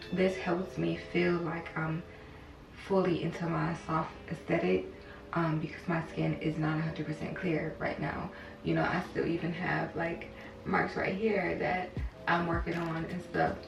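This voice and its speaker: A woman speaks at a fairly slow pace. Music plays in the background, and the room echo is audible. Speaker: beauty vlogger. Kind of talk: makeup tutorial. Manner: casual, conversational.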